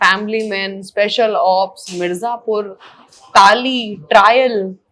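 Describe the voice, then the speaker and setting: A woman speaks in a plain, everyday voice at a medium pitch, with fairly even intonation. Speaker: interviewer. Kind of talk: interview questions.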